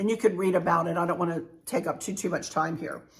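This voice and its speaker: Speaking fairly quickly, a woman with a plain, everyday voice shows ordinary pitch variation. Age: 60s. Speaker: travel vlogger. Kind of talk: casual tutorial. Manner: chatty.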